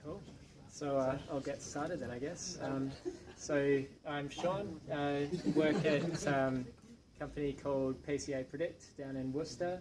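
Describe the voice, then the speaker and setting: A man with an Australian accent speaks at a fairly high pitch and a fairly slow pace, with fairly even intonation, noticeable background noise and audible room echo. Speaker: software developer. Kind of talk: tech talk to meetup audience. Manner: hesitant, many fillers.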